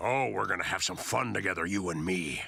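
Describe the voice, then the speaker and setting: Putting on a character voice, a man speaks fairly quickly in a very deep, low, raspy pitch at a very even loudness. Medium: cartoon. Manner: boastful, overblown heroics.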